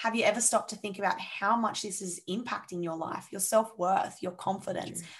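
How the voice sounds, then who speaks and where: In an Australian accent, a woman speaks at a fairly quick pace with hardly any pauses, a medium pitch and fairly even intonation. Her voice is somewhat breathy and shows big swings in loudness. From Sydney, Australia. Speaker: mindset coach. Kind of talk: casual interview chat.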